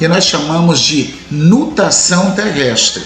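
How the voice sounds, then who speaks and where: A man speaks at a very slow pace with lively intonation, with music in the background and audible room echo. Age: 60s. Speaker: nautical navigation instructor. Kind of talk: lecture. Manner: conversational, with frequent 'tá?' checks.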